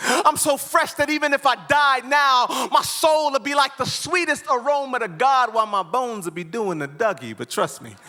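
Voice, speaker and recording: A man's extremely high, raised and projected voice over background music, at a moderate pace with hardly any pauses, lively intonation and big swings in loudness. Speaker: spoken word poet. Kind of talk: live spoken word poetry performance. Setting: live conference stage.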